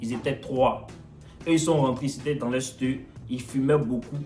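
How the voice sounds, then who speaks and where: Someone with an Ivorian accent speaks at a fairly quick pace in an animated tone. Music plays in the background. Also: man. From Ivory Coast. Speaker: vlogger. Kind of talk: storytelling.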